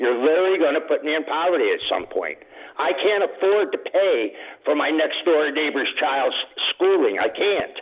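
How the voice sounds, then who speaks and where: Noticeable background noise plays beneath speech delivered at a moderate pace. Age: 70s. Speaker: radio caller, retiree. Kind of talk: call-in complaint. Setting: phone call.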